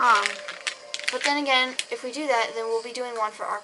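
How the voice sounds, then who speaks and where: The woman's voice is high in pitch with ordinary pitch variation. She keeps a moderate pace over noticeable background noise. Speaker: YouTuber. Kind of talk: casual vlog monologue. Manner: halting, self-correcting.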